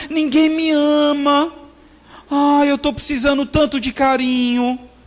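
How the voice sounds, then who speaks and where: A put-on character voice, high-pitched and whiny, moves at a fairly slow pace. The intonation is monotone and flat. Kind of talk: comic, mocking. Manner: self-pitying, whining.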